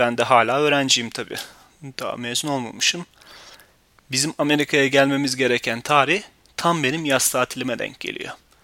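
Fairly high in pitch, a man speaks with fairly even intonation. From Turkey. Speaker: podcast host. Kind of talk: personal storytelling monologue.

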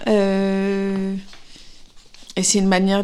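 At a very slow pace, a woman speaks at a medium pitch. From Paris, France. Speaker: actress. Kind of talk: interview. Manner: hesitant, many fillers and repetitions.

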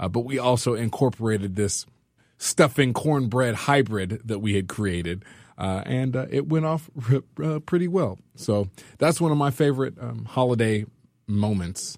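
In an American accent, a plain, everyday voice speaks at a moderate pace with lively intonation on a very clean recording with a silent background. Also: man, medium pitch for a man. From California. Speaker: community organizer and musician. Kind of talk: storytelling.

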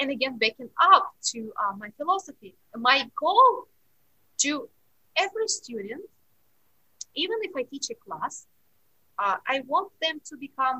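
A woman's high, bright and sharp voice, raised and projected, with very wide pitch swings at a fairly slow pace. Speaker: piano teacher and pianist. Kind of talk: interview, conversational.

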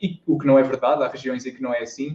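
A man talks with a European Portuguese accent. His pitch is fairly high and his pace fairly quick. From Portugal, interior (Viseu district). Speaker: YouTuber and university student. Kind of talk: casual interview. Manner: hesitant, repeats words.

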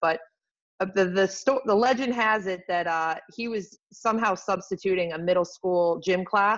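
Against a quiet background, a woman talks at a moderate pace with an ordinary speaking voice. Her pitch is medium, with ordinary variation. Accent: American. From Rochester, New York. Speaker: lacrosse head coach. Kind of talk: casual interview.

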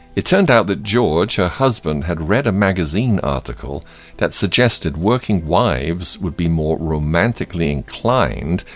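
A man is talking with very wide pitch swings. Music can be heard behind him. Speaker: radio host. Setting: studio. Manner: warm, unhurried, sincere and gently upbeat, with a pastoral tone; conversational, apologizing for lack of time and teasing upcoming story.

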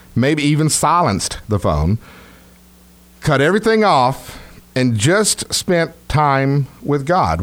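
Speaking at a fairly slow pace, a man with a Texas accent has a fairly high pitch and very wide pitch swings. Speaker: pastor. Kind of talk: sermon, Bible teaching on radio. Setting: radio broadcast.

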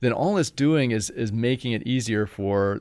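A man speaks in a normal speaking voice at a medium pitch with ordinary pitch variation. His moderate pace comes over a quiet background. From Indiana, US Midwest. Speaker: political science professor. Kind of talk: interview conversation.

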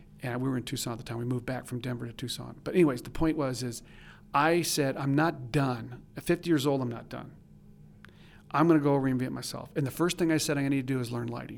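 At a very fast pace, the speaker talks with fairly even intonation. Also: man, medium pitch for a man. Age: 60s. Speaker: commercial photographer and educator. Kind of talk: interview.

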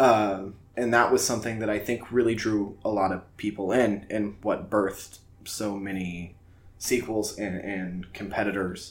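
A man speaks at a fairly low pitch and fairly slow pace. His intonation is monotone and flat, with audible room echo. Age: 20s. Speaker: podcast host. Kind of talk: casual chat.

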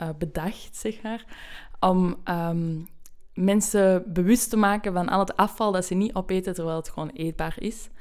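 On a very clean recording with a silent background, a woman speaks in a normal speaking voice at a medium pitch, fairly slowly and with fairly even intonation. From Belgium. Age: 20s. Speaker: student. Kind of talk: podcast interview.

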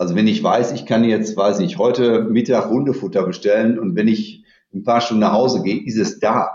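Using a plain, everyday voice, a man speaks at medium pitch and a moderate pace with ordinary pitch variation. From Dortmund, Germany. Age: 50s. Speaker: company CEO. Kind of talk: interview.

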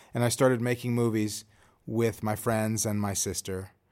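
On a very clean recording with a silent background, a man with an American accent speaks at a moderate pace and medium pitch. He has an ordinary speaking voice and fairly even intonation. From Chicago, US Midwest. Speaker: film director and screenwriter. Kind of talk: interview. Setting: room at a film school.

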